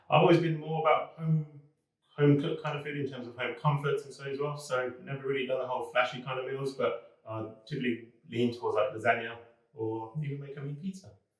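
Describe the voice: A fast-talking man at medium pitch, fairly even intonation, audible room echo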